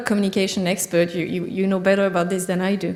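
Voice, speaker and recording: Through audible room echo and noticeable background noise, a woman speaks at a medium pitch with monotone, flat intonation. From France. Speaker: agricultural scientist. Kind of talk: conference talk. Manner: halting.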